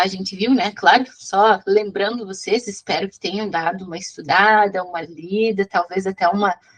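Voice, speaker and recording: A woman's medium-pitched voice with ordinary pitch variation, big swings in loudness and hardly any pauses. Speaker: physics teacher. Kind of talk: online class lecture. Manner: fast.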